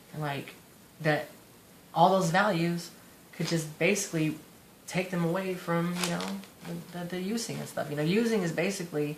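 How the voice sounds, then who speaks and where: Audible room echo surrounds a man speaking at a high pitch and a moderate pace. His intonation is fairly even, with long, frequent pauses. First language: Spanish. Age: 20s. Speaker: vlogger in recovery from addiction. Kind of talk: personal testimony monologue. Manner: halting, rambling with many fillers.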